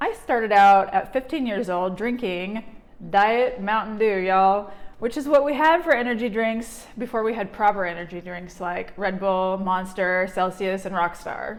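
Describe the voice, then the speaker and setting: A woman uses a normal speaking voice at a moderate pace. Her pitch is medium, with ordinary variation. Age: 40s. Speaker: energy healer and vlogger. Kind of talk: personal vlog testimony.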